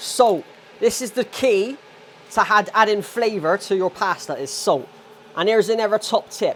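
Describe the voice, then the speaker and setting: A man with a strong Bristolian accent, high-pitched, fairly slow, with ordinary pitch variation over noticeable background noise. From England, Bristol. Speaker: vlogger. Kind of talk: casual vlog chat. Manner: casual, chatty.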